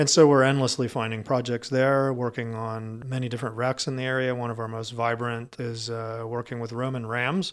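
A man of medium pitch speaks in a monotone, flat way. He goes at a fairly quick pace with hardly any pauses. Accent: American. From Florida. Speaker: cave diver and dive center director. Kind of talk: interview.

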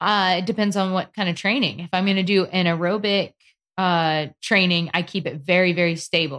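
An unremarkable speaking voice comes from a woman with an American accent at medium pitch and moderate pace. Her intonation is fairly even, and the recording is very clean with a silent background. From North Carolina. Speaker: competitive paddler and athlete. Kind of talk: casual interview.

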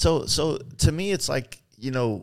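Pitched in the medium range, a man speaks fairly slowly with lively intonation, a slightly mellow tone and vocal fry.

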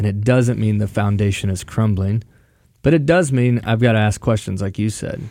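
The man's tone is dark and mellow, with fairly low pitch. He speaks at a moderate pace with ordinary pitch variation. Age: 40s. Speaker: pastor. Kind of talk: casual chat.

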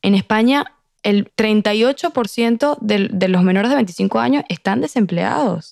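A woman with medium pitch and lively intonation, in a dry, close sound with no echo. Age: 20s. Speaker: podcast guest. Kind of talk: casual chat.

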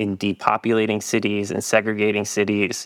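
A man's fairly low-pitched, ordinary speaking voice with an American accent, at a moderate pace, in a dry, close sound with no echo and a very clean recording over a silent background. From New York, Long Island. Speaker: transportation official and consultant. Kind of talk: interview.

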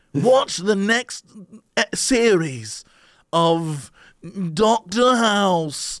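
In a put-on character voice with a British accent, the speaker sounds nasal at a middle pitch, moving at a very slow pace with long, frequent pauses. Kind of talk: announcer.

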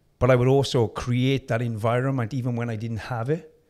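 A medium-pitched man with a South Wales accent at a moderate pace, on a very clean recording with a silent background. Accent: South Wales valleys. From South Wales, Merthyr Tydfil. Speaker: personal trainer and former bodybuilder. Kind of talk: interview conversation.

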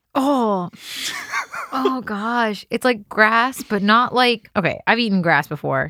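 A woman speaks at a very slow pace, and the sound is dry and close with no echo. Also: fairly high pitch for a woman, ordinary pitch variation. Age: 20s. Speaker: podcast host's wife. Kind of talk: casual chat. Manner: laughing often.

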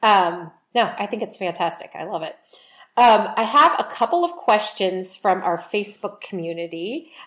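In an ordinary speaking voice, a woman of medium pitch speaks at a moderate pace with lively intonation. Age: 40s. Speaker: podcast host. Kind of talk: interview.

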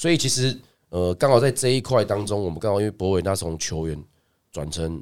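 An ordinary speaking voice with lively intonation at a fairly quick pace, in a very clean recording with a silent background. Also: man, fairly low pitch for a man. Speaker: basketball coach and podcast co-host. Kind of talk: casual chat.

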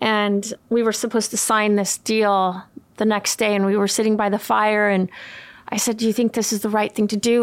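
In a plain, everyday voice, a woman with an American accent speaks at a moderate pace, fairly high in pitch and with fairly even intonation. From California and Sweden. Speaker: makeup artist and beauty brand founder. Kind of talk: casual chat.

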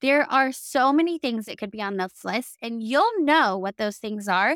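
Woman with an American accent, fairly high pitch, lively intonation, an upbeat, animated tone, and a moderate pace. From US South. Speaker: podcast host, virtual assistant agency owner. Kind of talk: solo podcast monologue, sales and business advice. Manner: upbeat, animated, friendly.

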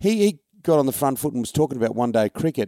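This man speaks with an Australian accent. His tone is dark and mellow. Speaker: sports podcast host. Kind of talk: casual sports chat.

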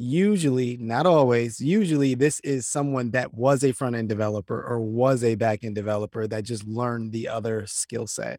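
This man speaks at a medium pitch and a moderate pace. His pitch varies in an ordinary way, with a dry, close sound and no echo. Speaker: software developer. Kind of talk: casual interview. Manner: relaxed.

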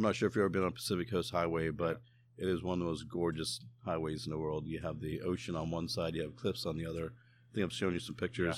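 A man with a very deep, low pitch talks at a very fast pace with ordinary pitch variation. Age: 40s. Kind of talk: casual chat. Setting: outdoors.

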